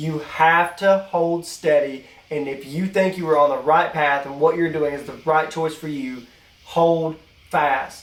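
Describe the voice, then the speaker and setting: Speaking at a fairly slow pace in a strong Appalachian accent, a man has fairly high pitch and fairly even intonation. His loudness swings widely, and there is noticeable background noise. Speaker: podcast co-host. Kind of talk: casual chat.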